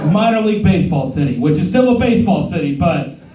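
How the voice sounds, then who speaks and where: Amid noticeable background noise and audible room echo, a man talks at a fairly quick pace with very wide pitch swings. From Oklahoma. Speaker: stand-up comedian. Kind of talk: stand-up. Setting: stage with audience. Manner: animated.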